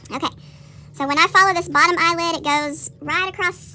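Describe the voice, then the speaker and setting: A woman speaks in a raised, projected voice at a fairly quick pace. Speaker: middle school art teacher. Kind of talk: classroom drawing tutorial. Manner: fast.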